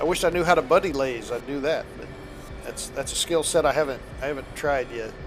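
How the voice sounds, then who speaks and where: A man races along at a very fast pace, his pitch shifting in an ordinary way, while music plays behind him. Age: 60s. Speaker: flight sim streamer. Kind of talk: casual gaming chat.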